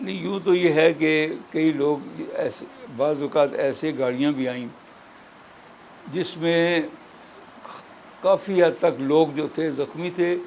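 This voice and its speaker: Fairly high for a man, his voice shows ordinary pitch variation and big swings in loudness amid noticeable background noise. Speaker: elderly political figure and independence-era witness. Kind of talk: interview answer, recalling history.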